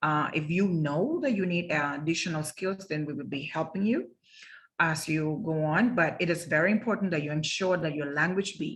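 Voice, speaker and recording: With a Spanish accent, a woman speaks at a moderate pace in a very deep, low, somewhat breathy voice with ordinary pitch variation over a quiet background. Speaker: interpreting instructor. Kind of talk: lecture. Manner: halting.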